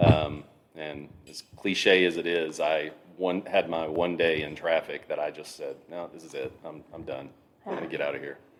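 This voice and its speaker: A man in a Texan accent speaks with big swings in loudness over noticeable background noise. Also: moderate pace. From Texas, Clyde near Abilene. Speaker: brewery co-owner. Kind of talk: podcast interview.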